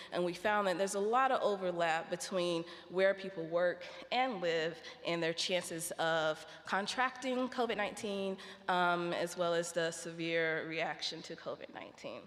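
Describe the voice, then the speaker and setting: A woman with an American accent talks at a moderate pace in a fairly low pitch, with ordinary pitch variation. It is an ordinary speaking voice. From United States. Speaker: researcher on health inequalities. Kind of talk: conference talk.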